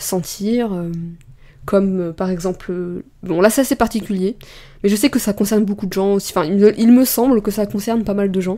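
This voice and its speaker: This woman's voice sits at medium pitch with a dark, mellow tone. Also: ordinary pitch variation, moderate pace. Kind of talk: casual vlog talk. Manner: halting, many hesitations.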